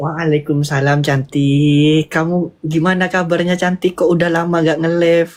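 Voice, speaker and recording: With a Madurese accent, the speaker talks in a monotone, flat intonation at very even loudness, with hardly any pauses. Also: man, high pitch for a man, moderate pace. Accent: Madurese Indonesian. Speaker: fellow live streamer. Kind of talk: casual chat.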